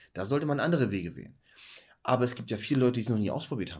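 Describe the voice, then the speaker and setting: Lively intonation from a man with a medium-pitched voice. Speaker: dentist and podcast host. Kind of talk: casual chat. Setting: dark room, one lamp. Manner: lowered, hypnotic voice.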